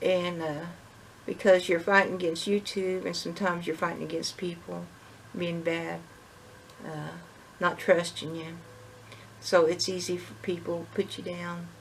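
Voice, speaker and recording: Monotone, flat speech from a woman at a moderate pace, with long, frequent pauses and noticeable background noise. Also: fairly low pitch for a woman. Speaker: homestead vlogger. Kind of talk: casual monologue. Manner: halting.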